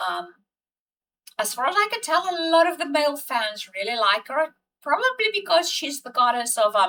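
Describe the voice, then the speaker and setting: A woman projects a raised, high-pitched voice with a bright, sharp tone, very wide pitch swings, and a moderate pace. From South Africa. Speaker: TV episode reviewer. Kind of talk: casual commentary. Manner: hesitant, many fillers.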